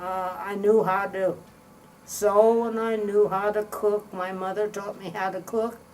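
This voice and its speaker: A woman with a Midwestern American accent talks at a very slow pace and medium pitch, her intonation flat and monotone. Noticeable background noise runs under her voice. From US Midwest, Indiana. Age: 80s+. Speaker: retired art teacher. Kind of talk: interview reminiscence. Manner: halting.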